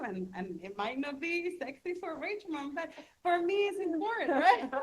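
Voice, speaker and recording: Moving at a moderate speed, a woman talks in a Spanish accent. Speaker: city council member and union leader. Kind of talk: panel discussion. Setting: stage with audience. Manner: soft-spoken; halting, many repetitions.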